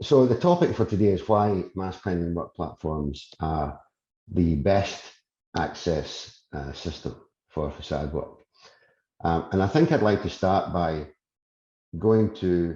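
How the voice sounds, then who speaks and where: A man with a Scottish accent speaks at a fairly slow pace in a very deep, low pitch, his dark, mellow tone carrying lively intonation through long, frequent pauses against a quiet background. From Scotland. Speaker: industry expert, committee chairman. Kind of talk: webinar presentation. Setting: online webinar.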